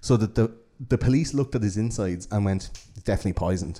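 A man with an Irish accent speaks at a fairly low pitch in a dark, mellow tone on a very clean recording with a silent background. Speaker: podcast host. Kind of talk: casual chat. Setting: studio.

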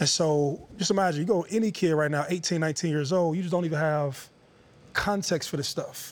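An ordinary speaking voice from a man with an American accent, at a fairly high pitch and a fairly quick pace, with ordinary pitch variation. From Youngstown, Ohio. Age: 30s. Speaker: former football player. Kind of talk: interview.

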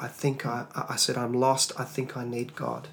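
A man's medium-pitched voice with an Australian accent and fairly even intonation. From Australia (Tasmania). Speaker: singer and worship leader. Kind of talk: interview testimony.

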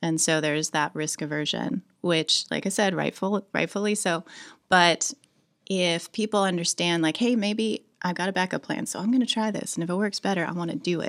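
A woman with an American accent speaks in an ordinary speaking voice at a medium pitch and a moderate pace. Her pitch varies in an ordinary way, and the sound is dry and close with no echo. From southwestern United States. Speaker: wastewater tech founder. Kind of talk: interview.

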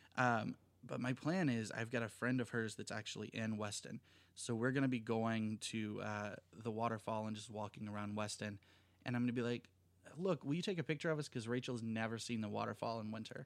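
The recording is very clean, with a silent background. A man speaks fairly quickly in an unremarkable speaking voice, medium in pitch and ordinary in variation. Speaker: producer. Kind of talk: casual chat.

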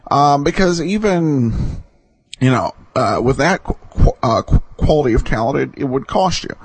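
With a plain, everyday voice, a man speaks at a moderate pace with lively intonation. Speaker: podcast host. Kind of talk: casual podcast hosting, introductions and commentary.

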